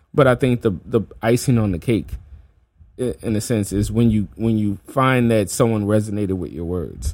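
Speaking at a moderate pace in an American accent, a man with a normal speaking voice has a fairly low pitch. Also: ordinary pitch variation. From New Orleans, US South. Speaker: podcast host and hip hop artist. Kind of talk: casual interview chat. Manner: casual, filler-heavy, friendly.

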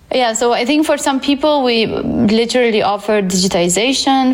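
Someone speaks with a Romanian accent over noticeable background noise. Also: woman. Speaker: data science teacher and career coach. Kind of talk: interview. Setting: at home.

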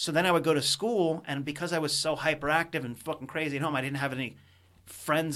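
Bright and sharp, a man's fairly high voice moves at a fairly quick pace on a very clean recording with a silent background. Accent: American. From US Mid-Atlantic, Potomac, Maryland. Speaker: stand-up comedian. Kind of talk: casual chat. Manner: animated.

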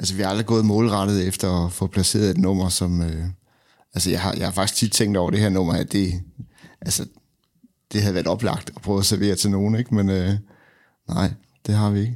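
A man speaks at a fairly quick pace and fairly low pitch, broken by long, frequent pauses. His intonation is monotone and flat, his loudness very even, on a very clean recording with a silent background. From Denmark, Randers (East Jutland). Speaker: guitarist and music producer. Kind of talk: casual interview. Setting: studio.

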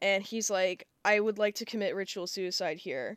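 With a plain, everyday voice, a woman speaks at a medium pitch and with fairly even intonation on a very clean recording with a silent background. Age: 20s. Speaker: podcast co-host. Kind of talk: casual chat.

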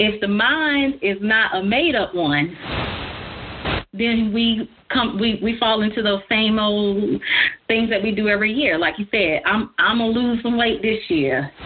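A woman speaks at a fairly slow pace with a medium pitch, ordinary pitch variation and a slightly husky edge.

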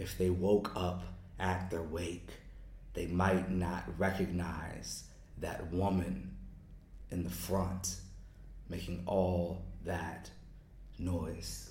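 In an American accent, a man with a very deep, low pitch speaks at a very slow pace, somewhat breathy and monotone, with long, frequent pauses. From United States. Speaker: poet. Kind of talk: interview.

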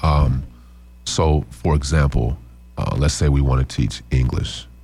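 Noticeable background noise accompanies a man with an American accent who speaks at a fairly slow pace in a very deep, low pitch with fairly even intonation. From Midwest US, Chicago then Omaha and Lincoln. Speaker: DJ and nonprofit founder. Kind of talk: casual interview. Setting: radio studio. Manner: hesitant, many fillers.

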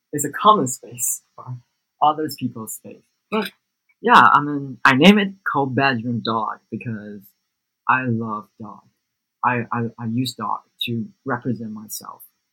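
A bright, sharp voice with a Taiwanese accent speaks at a fairly slow pace with lively intonation, recorded dry and close with no echo. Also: man, medium pitch for a man. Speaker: music producer. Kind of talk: interview.

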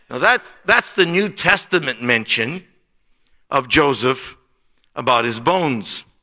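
Bright and sharp in tone, a man with an American accent speaks at a fairly slow pace in a fairly high pitch, with lively intonation and long, frequent pauses. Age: 60s. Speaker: missionary preacher. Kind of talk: sermon. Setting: church.

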